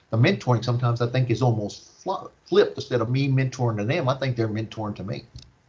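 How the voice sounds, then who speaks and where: A man's medium-pitched, very fast speech with hardly any pauses, ordinary pitch variation and noticeable background noise. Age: 60s. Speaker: panelist and mentor. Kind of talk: panel discussion.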